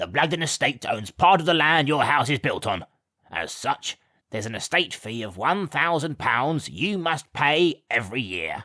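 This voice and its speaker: A man's put-on character voice at a fairly high pitch and a moderate pace, with very wide pitch swings, in a very clean, dry, close recording with no echo and a silent background. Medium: read story. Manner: sneering.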